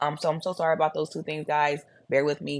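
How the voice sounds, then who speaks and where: A woman's very deep, low voice with a Texas accent, over a quiet background. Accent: deep Texas Southern. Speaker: religious commentary vlogger. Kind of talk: casual video commentary. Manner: casual, chatty.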